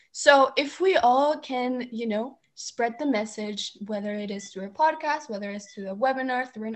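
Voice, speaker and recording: A woman's fairly high voice moves at a moderate speed and shows ordinary pitch variation. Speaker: community college student. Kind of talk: casual chat.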